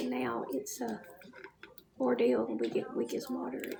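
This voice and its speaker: Over noticeable background noise, a woman talks with a Southern US accent. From US South. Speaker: lifestyle livestreamer. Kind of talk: casual livestream chat.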